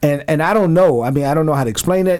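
A man speaks with a New York accent. His pitch varies in an ordinary way. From Brooklyn, New York. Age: 40s. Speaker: retired army officer and ministry founder. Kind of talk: radio interview.

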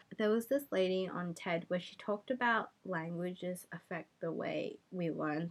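In an Australian accent, a woman speaks at a medium pitch and a moderate pace with hardly any pauses. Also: ordinary pitch variation. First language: Cantonese. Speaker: podcast host. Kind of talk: casual chat.

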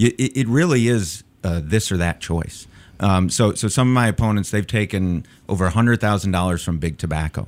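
With an American accent, a man talks at a fairly quick pace in a normal speaking voice, his fairly low pitch showing ordinary variation on a very clean recording with a silent background. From Chicago. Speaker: political candidate, public defender. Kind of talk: radio interview. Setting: studio.

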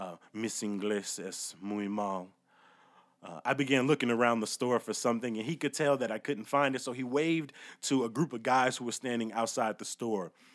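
A normal speaking voice with an American accent and ordinary pitch variation at a moderate pace. The recording is very clean, with a silent background. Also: man, medium pitch for a man. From Chicago south side. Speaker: storyteller. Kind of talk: comedic storytelling.

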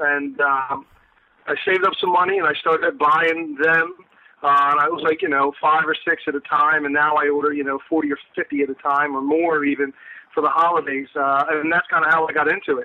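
This man's voice is fairly high and monotone, with flat intonation. He talks at a moderate pace. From South Jersey. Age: 30s. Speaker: high school history teacher and pipe seller. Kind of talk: casual interview. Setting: phone call.

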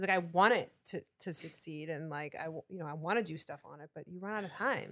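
In an ordinary speaking voice, a woman talks at a fairly quick pace and a fairly low pitch, with ordinary pitch variation and hardly any pauses. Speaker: co-host's wife. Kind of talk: casual chat.

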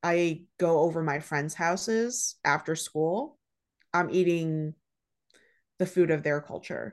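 With a Midwestern US accent, a woman speaks at a very slow pace with long, frequent pauses, fairly low pitch, and fairly even intonation over a quiet background. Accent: US Midwest. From Dearborn, Michigan, US. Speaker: chef. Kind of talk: casual chat.

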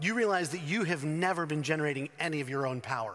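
A man with an American accent speaks in a high pitch with a bright, sharp tone. His intonation is lively. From North Carolina. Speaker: pastor. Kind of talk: sermon. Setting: church.

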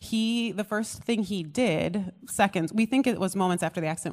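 A woman with an American accent speaks at a fairly quick pace with ordinary pitch variation, in an ordinary speaking voice. The recording is very clean, with a silent background. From US, small town. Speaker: pastor. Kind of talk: testimony. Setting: stage with audience.

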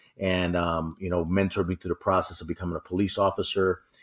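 A man talks with a New York accent. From New York City. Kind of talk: interview discussion. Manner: upbeat, animated.

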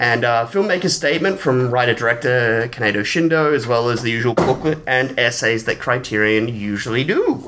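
With an Australian accent, a man talks at a fairly quick pace and medium pitch, with hardly any pauses. His pitch variation is ordinary, and background noise is noticeable. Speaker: film podcast co-host. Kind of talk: casual chat.

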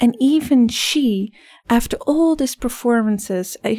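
In a slight Dutch accent, a woman with a dark, mellow tone speaks at a fairly slow pace with ordinary pitch variation, on a very clean recording with a silent background. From Netherlands. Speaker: life coach. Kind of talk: interview. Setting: studio.

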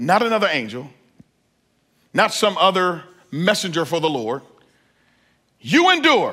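A man talks in a raised, projected voice with an animated tone. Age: 40s. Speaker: pastor. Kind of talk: sermon.

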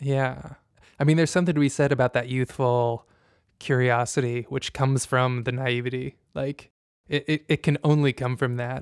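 A normal speaking voice from a man with an American accent, medium in pitch, with fairly even intonation, in dry, close sound with no echo on a very clean recording with a silent background. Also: moderate pace. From Indiana, US Midwest. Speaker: podcast host. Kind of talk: casual chat.

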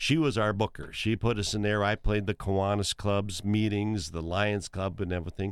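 Someone with an Upper Midwest accent talks at a moderate pace, with fairly even intonation and hardly any pauses, in a very clean recording with a silent background. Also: man, fairly low pitch for a man. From eastern South Dakota. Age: 60s. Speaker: musician and entertainer. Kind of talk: casual chat. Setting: studio.

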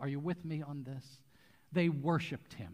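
A man with an American accent, fairly high-pitched and somewhat breathy, on a very clean recording with a silent background. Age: 60s. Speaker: pastor. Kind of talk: sermon. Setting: church.

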